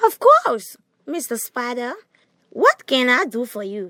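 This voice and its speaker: Putting on a character voice, a woman speaks high-pitched at a fairly slow pace. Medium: read story.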